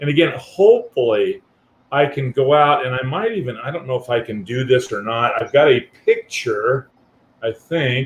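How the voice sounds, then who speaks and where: A man's somewhat breathy voice at medium pitch, with ordinary pitch variation and a moderate pace. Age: 60s. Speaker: guest on a livestream, traveler with a converted ambulance. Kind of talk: casual chat. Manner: halting.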